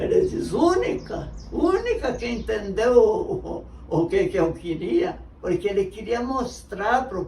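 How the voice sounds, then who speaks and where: Noticeable background noise behind a woman's very slow speech. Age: 80s+. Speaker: retired teacher. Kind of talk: interview answer.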